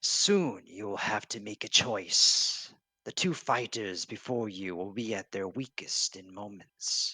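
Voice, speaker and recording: Putting on a character voice, a man talks at a fairly slow pace in a fairly low pitch. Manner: ominous.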